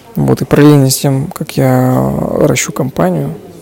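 A man talks at a moderate pace over noticeable background noise. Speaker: podcaster and business owner. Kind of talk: solo casual monologue. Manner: dry, monotone.

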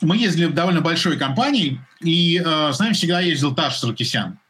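Here a man talks at a fairly quick pace. His fairly high pitch carries lively intonation. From Russia, Moscow. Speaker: sports commentator. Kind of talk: casual chat. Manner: animated.

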